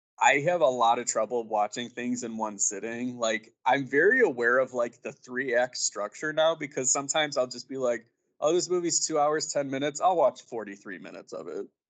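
A man with a normal speaking voice, fairly high pitch, ordinary pitch variation, a moderate pace and big swings in loudness. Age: 30s. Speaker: film podcaster and writer. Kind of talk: casual chat.

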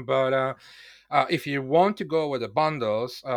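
A man with a non-native accent speaks at a moderate pace. His pitch is medium, and the background is quiet. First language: not English. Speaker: software developer working on online courses. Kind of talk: podcast interview. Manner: halting, many fillers.

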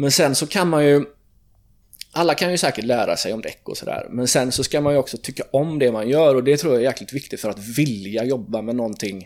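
A man in an ordinary speaking voice at a fairly quick pace, medium pitch and ordinary pitch variation, on a very clean recording with a silent background. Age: 30s. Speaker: tire shop owner and managing director. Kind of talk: casual interview. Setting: at his workplace.

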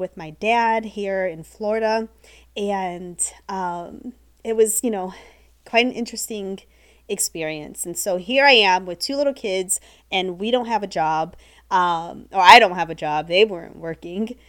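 A woman with a Midwestern accent, medium in pitch with ordinary variation, at a fairly slow pace with big swings in loudness, in a very clean recording with a silent background. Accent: General American (Midwest). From US Midwest (Ohio). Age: 40s. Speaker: podcast host, business coach and photographer. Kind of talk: casual solo podcast monologue. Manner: enthusiastic, chatty.

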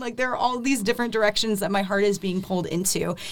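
Her fairly high voice has an animated tone and ordinary pitch variation at a very fast pace. Noticeable background noise runs behind the woman. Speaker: university student. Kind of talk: radio interview.

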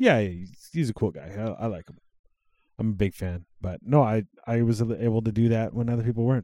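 A man with a Western Canadian accent speaks at a very fast pace in a dark, mellow tone at medium pitch with ordinary pitch variation, the sound dry and close with no echo. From Alberta, Canada (Cold Lake, Sylvan Lake). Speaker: podcast co-host. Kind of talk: casual chat. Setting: home recording at co-host's house.

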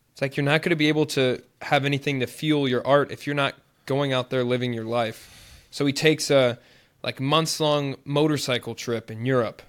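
A man with an unremarkable speaking voice talks at a moderate pace. His pitch is fairly high, and his intonation is fairly even. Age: 20s. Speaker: podcast co-host. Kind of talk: casual chat.

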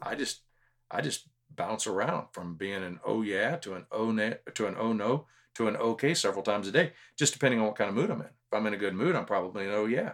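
In a Texan accent, a man with a fairly low pitch races along at a very fast pace with lively intonation on a very clean recording with a silent background. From Texas (Houston, San Antonio). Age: 50s. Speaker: public speaker and leadership trainer. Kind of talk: casual interview chat.

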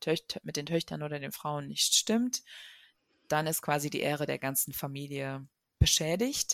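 A woman speaks in a very deep, low voice at a fairly slow pace. The recording is very clean with a silent background, dry and close with no echo. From Germany. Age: 30s. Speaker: journalist and author. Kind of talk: interview.

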